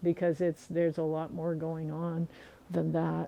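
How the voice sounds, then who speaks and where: A woman with an ordinary speaking voice, fairly low pitch and ordinary pitch variation. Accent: American. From US Midwest (southern Missouri, Ozarks). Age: 60s. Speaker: herbalist teacher. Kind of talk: casual chat.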